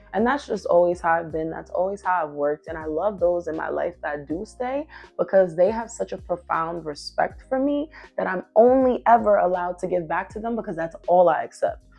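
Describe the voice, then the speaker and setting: Over music in the background, a woman talks at a fairly quick pace in a fairly low voice, with lively intonation and an animated tone. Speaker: podcast host. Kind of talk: casual monologue. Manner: loud.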